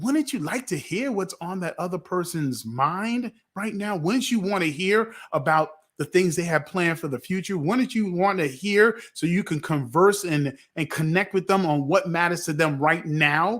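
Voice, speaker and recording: With an American accent, the speaker has an animated tone and lively intonation at a moderate pace, in a very clean recording with a silent background. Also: man, high pitch for a man. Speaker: podcast host. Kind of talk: casual panel discussion. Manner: animated, repetitive.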